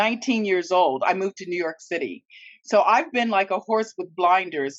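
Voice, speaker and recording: A woman with an American accent speaks in a normal speaking voice at medium pitch, with lively intonation and a moderate pace. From California, US. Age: 60s. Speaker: opera singer. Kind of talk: casual chat. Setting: studio.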